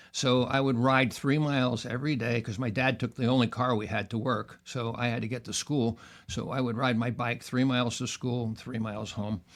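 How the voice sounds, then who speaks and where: Speaking with a New York accent, a man talks at a moderate pace in a medium pitch with fairly even intonation. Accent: New York American. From New York area, US. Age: 80s+. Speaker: author. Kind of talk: interview storytelling. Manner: halting.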